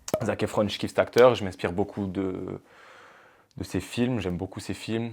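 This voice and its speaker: A man with a plain, everyday voice speaks at a moderate pace. His pitch is fairly low, and his intonation fairly even. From Marseille, southern France. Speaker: reality TV participant, firefighter and model. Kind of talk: casual chat.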